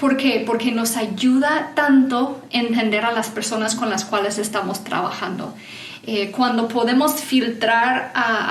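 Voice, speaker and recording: A woman's fairly high, fairly even voice at a fairly slow pace, amid noticeable background noise and audible room echo. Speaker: certified enneagram coach. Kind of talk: conference talk.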